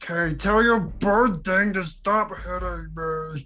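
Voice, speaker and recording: At a fairly slow pace, a raspy put-on character voice speaks at a middle pitch. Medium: actual play. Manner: simple, plaintive, wounded.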